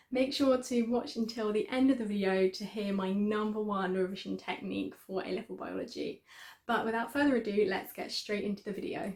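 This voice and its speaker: Talking at a fairly quick pace, a woman speaks with an English accent. Her pitch is fairly high, with ordinary pitch variation. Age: 20s. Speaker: student YouTuber. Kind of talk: tutorial. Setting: student room at home.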